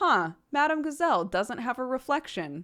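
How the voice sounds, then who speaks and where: A woman uses a put-on character voice at a high pitch. Her pitch swings very widely. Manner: wry, deadpan cartoon narration.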